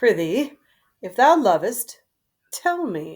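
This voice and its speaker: A woman's put-on character voice, fairly high-pitched, with very wide pitch swings and a very slow pace. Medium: read story. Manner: haughty.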